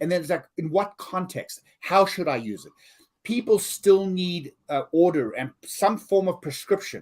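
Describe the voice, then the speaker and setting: A man's high-pitched voice with lively intonation, big swings in loudness and a fairly slow pace. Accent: South African. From South Africa. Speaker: learning consultant and author. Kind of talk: podcast interview.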